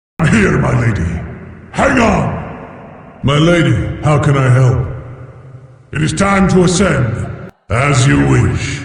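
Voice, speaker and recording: Using a put-on character voice at a fairly high pitch, a man speaks with clear echo around him. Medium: fan dub. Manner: polite, formal.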